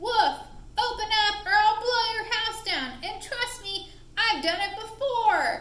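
A woman speaks at a fairly slow pace in a cartoonish character voice pitched extremely high, with a slight echo. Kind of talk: children's puppet show storytelling. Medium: puppet show. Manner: blustery and threatening, surprised at his own success.

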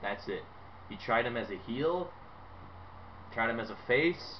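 At a fairly slow pace, a man speaks with an animated tone and lively intonation over light background noise. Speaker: wrestling fan YouTuber. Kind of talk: angry rant; opinionated video commentary. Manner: emphatic, repetitive, dismissive; loud, sarcastic, animated. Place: home room. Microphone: webcam.

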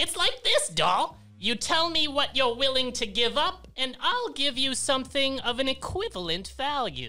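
A high-pitched, female-sounding voice puts on a character voice. Its pace is moderate. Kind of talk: comic overacting. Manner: effervescent, bizarre, hucksterish.

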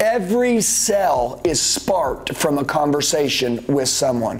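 Lively intonation from a man. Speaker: sales trainer. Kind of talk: motivational lecture to camera. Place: studio.

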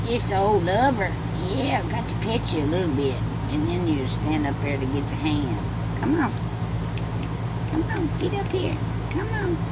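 A Southern US accent at a moderate pace, with long, frequent pauses and loud background noise. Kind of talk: casual talk outdoors. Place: garden. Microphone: phone near.

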